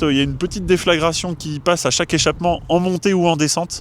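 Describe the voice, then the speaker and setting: A man talks at a very fast pace in a high voice. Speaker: car owner. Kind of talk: interview. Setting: outdoors. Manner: hesitant, many fillers.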